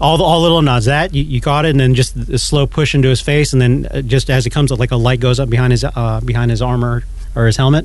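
Through noticeable background noise, a man talks at a very fast pace with very even loudness. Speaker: podcast co-host. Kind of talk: casual banter about TV. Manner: animated, joking.

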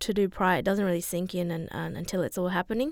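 In a very clean recording with a silent background, a woman with an Australian accent speaks with fairly even intonation. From Broome, Western Australia. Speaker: parent of a child with heart disease. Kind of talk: radio interview.

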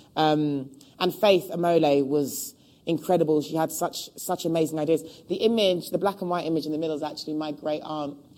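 Speaking at a fairly quick pace with a London accent, a woman has a very deep, low voice, a dark, mellow tone and fairly even intonation. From London (Hackney), England. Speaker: costume designer. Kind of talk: public talk interview. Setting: stage with live audience.

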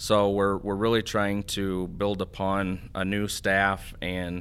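A man with an Upper Midwest accent, his pitch fairly low and his intonation fairly even. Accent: Upper Midwest American. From US Midwest, northeast Iowa. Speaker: water association executive. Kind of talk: interview.

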